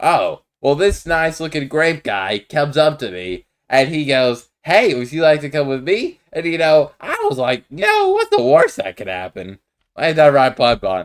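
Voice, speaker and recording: A put-on character voice at a middle pitch, delivered at a moderate pace. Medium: machinima. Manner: laid-back, folksy.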